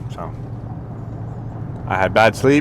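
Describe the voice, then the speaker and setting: A man mumbles at a fairly quick pace with fairly even intonation. Noticeable background noise runs under his voice. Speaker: fitness vlogger. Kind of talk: casual workout vlog talk. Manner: mumbling; low energy.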